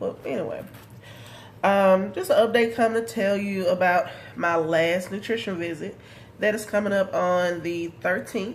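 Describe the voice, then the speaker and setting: Her intonation lively, a woman speaks fairly slowly at a medium pitch in a room with audible echo. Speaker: vlogger. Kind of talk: casual vlog update.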